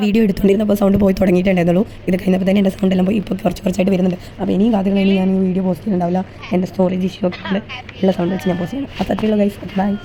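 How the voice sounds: Over noticeable background noise, a woman puts on a hoarse character voice at a medium pitch and rattles along at a very fast pace.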